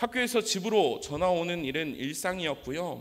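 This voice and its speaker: A man with a high voice speaks at a fairly slow pace, his pitch swinging very widely. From South Korea, Daegu (Gyeongsang region). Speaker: preacher. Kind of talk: sermon with personal testimony. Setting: church.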